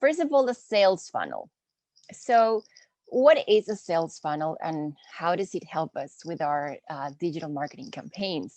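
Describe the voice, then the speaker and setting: A woman with a Spanish accent speaks at a moderate pace with a fairly low pitch and very wide pitch swings, in a dry, close sound with no echo. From Peru. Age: 20s. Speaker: marketing instructor. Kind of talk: online lecture. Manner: casual, friendly.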